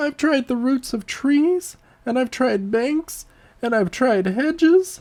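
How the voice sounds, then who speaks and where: A shrill, high-pitched put-on character voice at a fairly slow pace. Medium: read story. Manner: shrill, accusatory, self-pitying.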